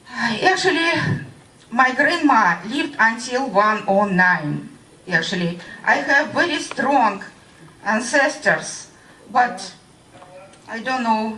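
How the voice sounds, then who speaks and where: Speaking very slowly in a Russian accent, a woman uses a fairly high pitch, lively intonation and long, frequent pauses, with audible room echo and noticeable background noise. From Russia (Voronezh). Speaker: radiation-affected witness. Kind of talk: testimony. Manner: halting.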